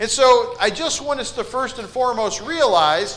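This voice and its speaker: A man projects a raised voice at an extremely high pitch and a moderate pace. Room echo and noticeable background noise are both audible. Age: 40s. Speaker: preacher. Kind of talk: sermon. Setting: church.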